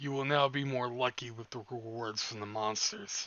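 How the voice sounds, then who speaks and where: A man's put-on character voice in a medium pitch with fairly even intonation. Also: moderate pace. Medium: game stream.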